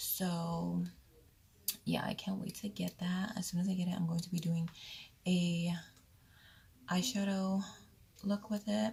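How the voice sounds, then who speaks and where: Speaking at a very slow pace, a woman with a medium pitch and a dark, mellow tone sounds somewhat breathy, her intonation fairly even. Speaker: beauty vlogger. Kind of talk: makeup tutorial. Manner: casual chatty.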